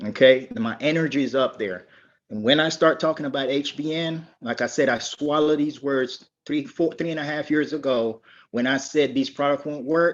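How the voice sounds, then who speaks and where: A man with a normal speaking voice talks at a moderate pace and a fairly high pitch, his pitch varying in an ordinary way over a quiet background. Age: 60s. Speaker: network marketing distributor, military veteran. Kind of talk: testimony.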